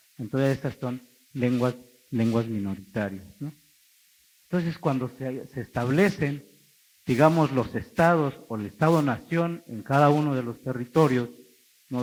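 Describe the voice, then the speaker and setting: Speaking in an Oaxacan accent, a man talks at a medium pitch. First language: Zapotec (speaking Spanish). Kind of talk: talk to an audience. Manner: conversational, frequent tag questions.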